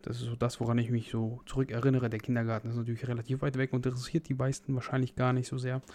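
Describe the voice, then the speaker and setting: A man talks at a very fast pace with a medium pitch. His tone is dark and mellow, his intonation monotone and flat. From Germany, North Rhine-Westphalia. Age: 20s. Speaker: fitness podcast host and fitness trainer. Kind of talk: solo podcast monologue. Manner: casual.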